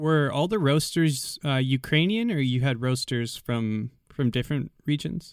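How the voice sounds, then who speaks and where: Using an ordinary speaking voice, a man talks at a moderate pace with lively intonation and a fairly high pitch. His loudness stays very even in a very clean recording with a silent background. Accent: American. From United States. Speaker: podcast host. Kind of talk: scripted intro then interview.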